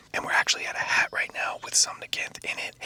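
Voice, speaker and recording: Everything is whispered. Background noise is noticeable throughout. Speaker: gaming youtuber. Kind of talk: ASMR gameplay commentary. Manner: whispering; soft, relaxing.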